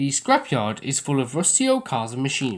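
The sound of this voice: Reading done in an unforced reading voice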